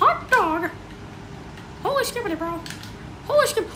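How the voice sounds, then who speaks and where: A put-on character voice, extremely high in pitch, is raised and projected in a cheerful tone. It moves at a moderate pace over clear background noise. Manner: cheerful, jokey.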